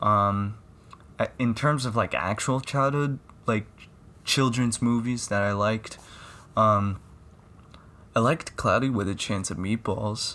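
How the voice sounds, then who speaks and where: Pausing long and often, a man talks at a fairly slow pace with a medium pitch. His tone is bright and sharp, with ordinary pitch variation. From Philippines. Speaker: podcast host. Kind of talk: casual podcast talk. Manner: slurred, stuttering.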